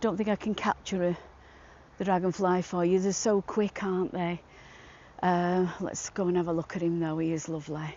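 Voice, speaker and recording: A woman with a Manchester accent speaks at a moderate pace in a flat monotone at a fairly low pitch. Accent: northern English (Manchester area). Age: 60s. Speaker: walking vlogger. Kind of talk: casual chat to camera while walking. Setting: outdoors in gardens. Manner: hesitant, many fillers.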